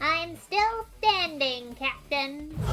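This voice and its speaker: A high-pitched, cartoonish character voice with a theatrical tone over clear background noise. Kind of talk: cartoon villain overacting. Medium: audio drama. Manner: gloating, theatrical.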